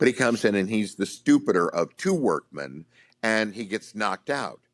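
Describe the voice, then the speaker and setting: Recorded very cleanly against a silent background, a man's voice comes across dry and close with no echo. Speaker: voice actor. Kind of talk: interview answer.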